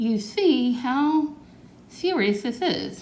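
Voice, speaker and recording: A woman puts on a character voice, pitched high and full of lively intonation, with clear background noise behind her. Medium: read story. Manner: talks funny without his teeth.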